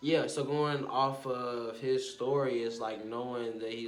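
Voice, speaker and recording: Ordinary pitch variation marks this man's speech. His voice carries audible room echo. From Arkansas. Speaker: vlogger and music artist. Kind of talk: casual monologue vlog.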